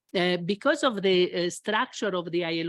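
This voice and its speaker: A woman with an Italian accent speaks at a moderate pace in a medium-pitched voice with ordinary pitch variation, recorded very cleanly with a silent background and a dry, close sound without echo. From Italy. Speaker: international labour official moderating a panel. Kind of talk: panel discussion opening remarks. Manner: halting, many fillers.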